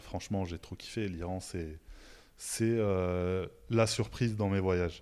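In a very clean recording with a silent background, a man speaks at a fairly low pitch with a dark, mellow tone. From France, Haute-Savoie. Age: 30s. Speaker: artist and graphic designer. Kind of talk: interview.

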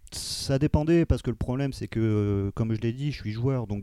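A man's dark, mellow voice at a fairly slow pace with ordinary pitch variation, on a very clean recording with a silent background. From France, Amiens. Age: 30s. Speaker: podcast guest. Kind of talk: casual discussion.

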